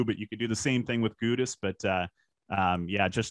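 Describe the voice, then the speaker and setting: This man has an ordinary speaking voice, fairly low in pitch, talking at a fairly quick pace with fairly even intonation. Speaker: hockey PA announcer. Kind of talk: casual podcast guest talk.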